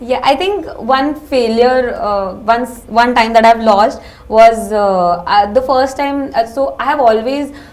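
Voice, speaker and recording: A woman speaks at a high pitch. She talks fairly slowly. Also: ordinary pitch variation. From Kolkata, India. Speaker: MBA interview candidate. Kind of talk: mock job interview. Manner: halting.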